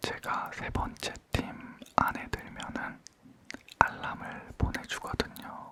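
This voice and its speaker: Amid noticeable background noise, a man whispers very slowly, leaving long, frequent pauses. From Korea. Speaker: ASMR creator. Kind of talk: casual chat ASMR. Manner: calm, relaxed.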